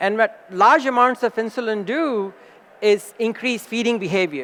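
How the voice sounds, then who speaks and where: In an animated tone, a man talks at a fairly slow pace. His voice is high, with ordinary pitch variation. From India. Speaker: cardiologist. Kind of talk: conference lecture.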